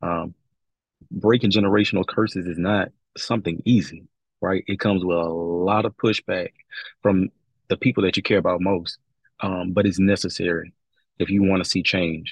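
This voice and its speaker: A man with a very deep, low voice and a Louisiana accent talks at a moderate pace with long, frequent pauses and fairly even intonation. The sound is dry and close with no echo over a quiet background. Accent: Southern US (Louisiana). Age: 20s. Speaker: business coach. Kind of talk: casual interview chat.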